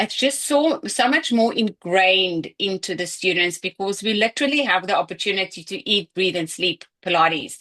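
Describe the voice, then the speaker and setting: Her tone is bright and sharp as a woman speaks at a medium pitch and a moderate pace with ordinary pitch variation, the sound dry and close with no echo over a quiet background. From South Africa. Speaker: Pilates teacher trainer. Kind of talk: online Q&A session.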